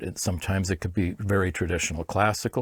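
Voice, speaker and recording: This man has an American accent and a fairly low pitch, speaking at a moderate pace. The recording is very clean, with a silent background. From US West Coast, Los Angeles. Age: 60s. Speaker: film orchestrator and arranger. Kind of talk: interview. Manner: hesitant, many fillers and restarts.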